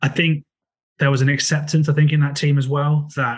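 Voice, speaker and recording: A man speaks with an English accent at a fairly quick pace. His voice is somewhat breathy. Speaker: football podcast co-host. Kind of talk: casual football podcast discussion.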